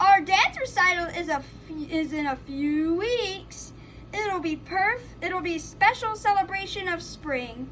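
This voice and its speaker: At a fairly slow pace, someone performs a put-on character voice over clear background noise. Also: woman, extremely high pitch for a woman. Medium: read story.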